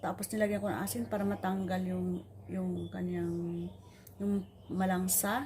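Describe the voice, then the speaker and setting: A woman with a Tagalog accent, very deep, low pitch and very wide pitch swings, at a moderate pace over noticeable background noise. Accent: Filipino (Tagalog). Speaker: home cook. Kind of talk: cooking tutorial.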